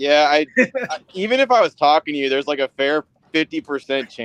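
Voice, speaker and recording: Lively intonation marks a man's fairly high voice as he talks at a fairly quick pace. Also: dry, close sound with no echo. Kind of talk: casual, conversational. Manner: dry, sarcastic delivery.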